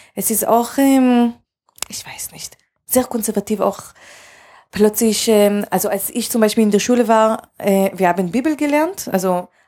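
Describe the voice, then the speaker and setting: A woman talks at a moderate pace with an Israeli accent and a dark, mellow tone. The recording is very clean, with a silent background. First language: Hebrew (speaking German). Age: 30s. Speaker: film director. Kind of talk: interview. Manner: hesitant, many fillers.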